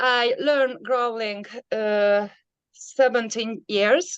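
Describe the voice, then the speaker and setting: A woman speaks with a non-native accent. Her voice is fairly high in pitch. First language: not English. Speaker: metal vocalist. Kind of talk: interview. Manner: halting.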